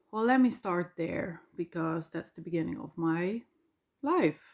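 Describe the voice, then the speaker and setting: With a Dutch accent, a woman speaks. Her pitch is medium. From Flanders, Belgium. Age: 40s. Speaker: podcaster. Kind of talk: personal monologue. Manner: halting.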